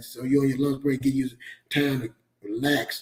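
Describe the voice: A man talks at a moderate pace. His tone is slightly mellow.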